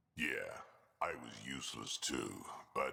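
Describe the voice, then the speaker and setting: A man puts on a character voice. He growls as he speaks. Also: fairly slow pace. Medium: video game. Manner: gruff, blunt.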